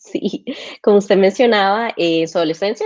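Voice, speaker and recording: A woman with a Costa Rican accent speaks at a medium pitch. Her pace is fairly quick and her intonation lively. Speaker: interview host. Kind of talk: interview. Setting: live stream.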